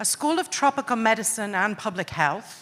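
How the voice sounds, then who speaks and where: Speaking at a moderate pace, a woman uses a medium pitch and lively intonation. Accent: Welsh. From Wales. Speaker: panel moderator, academic. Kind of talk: panel moderation.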